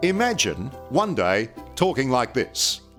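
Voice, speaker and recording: His pitch swings very widely as this man talks, with music in the background. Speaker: TV reporter. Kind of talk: TV documentary narration.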